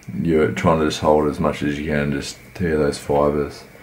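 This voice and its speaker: With noticeable background noise behind him, a man speaks at a moderate pace in a very deep, low pitch. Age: 20s. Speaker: amateur bodybuilder. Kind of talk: workout commentary vlog.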